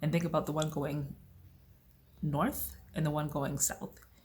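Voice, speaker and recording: A woman with a very deep, low pitch and vocal fry speaks at a fairly slow pace. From United States. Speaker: vlogger. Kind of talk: casual vlog talk. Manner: animated.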